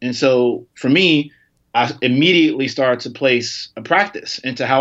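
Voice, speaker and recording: A man talks in an American accent, his pitch medium. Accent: slight twang, mistaken for Southern. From Chicago. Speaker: advertising tech executive. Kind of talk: casual interview conversation.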